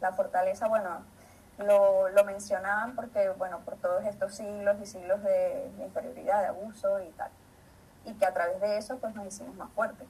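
At a moderate pace and medium pitch, a woman speaks in an unremarkable speaking voice with fairly even intonation and big swings in loudness. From Venezuela, Maracay. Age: 30s. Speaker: biologist. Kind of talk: panel talk. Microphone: echo.

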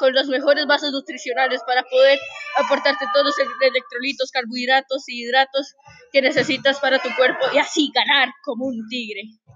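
At a moderate pace, this woman talks with a high pitch. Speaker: sports commentator. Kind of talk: co-commentary, then energetic ad read. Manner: punchy, upbeat sales-pitch delivery.

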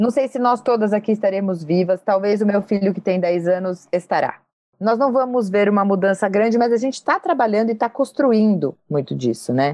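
Using an ordinary speaking voice, a woman talks at medium pitch and a fairly quick pace, with lively intonation and very even loudness. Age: 40s. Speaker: podcast host, journalist and executive. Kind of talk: interview.

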